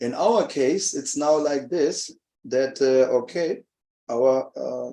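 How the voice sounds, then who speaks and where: The speaker is a man. He has a non-native accent. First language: not English. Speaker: religious speaker. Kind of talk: talk at a festival seminar. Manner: halting, many fillers.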